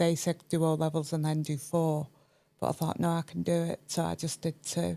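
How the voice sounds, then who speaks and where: In a northern English accent, a woman speaks at a moderate pace with a very deep, low pitch, a dark, mellow tone and monotone, flat intonation. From northern England, Cheshire. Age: 50s. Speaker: chartered accountant and entrepreneur. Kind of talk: podcast interview, personal story.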